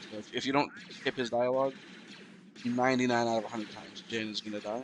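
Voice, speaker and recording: A man talks at a very fast pace in a medium pitch with monotone, flat intonation. Noticeable background noise is present. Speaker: speedrunner. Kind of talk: tutorial. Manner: casual with many fillers.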